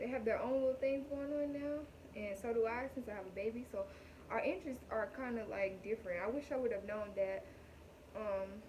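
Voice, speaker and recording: A woman speaks at a moderate pace in a fairly high pitch with ordinary pitch variation. Audible room echo and noticeable background noise are present. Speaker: vlogger, new mother. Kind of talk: casual vlog talk to camera.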